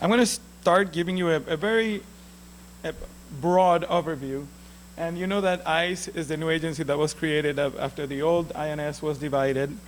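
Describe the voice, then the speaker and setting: With a Puerto Rican accent, a man speaks at a moderate pace and fairly high pitch amid audible room echo. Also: ordinary pitch variation. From Puerto Rico. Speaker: immigration lawyer. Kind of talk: lecture. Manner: halting.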